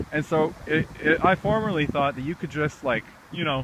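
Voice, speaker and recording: Moderate-paced speech from a man. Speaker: gardener and video blogger. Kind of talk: casual outdoor vlog tutorial. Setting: outdoors in a community garden. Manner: loud; casual, halting with fillers.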